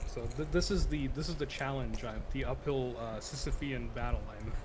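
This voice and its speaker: There is audible room echo in this clip. The man talks with an American accent. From United States. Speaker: guest. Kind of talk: casual chat.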